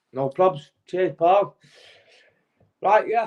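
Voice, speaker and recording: A man with a Manchester accent talks at a fairly slow pace and a high pitch. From Manchester, northern England. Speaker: former pro boxer. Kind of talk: testimony. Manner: halting, many fillers.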